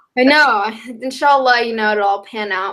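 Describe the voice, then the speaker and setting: With a slight Southern US accent, the speaker has a bright, sharp tone. The pace is fairly quick, with ordinary pitch variation. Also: woman. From US South, North Carolina. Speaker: college student, brand ambassador. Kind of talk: interview.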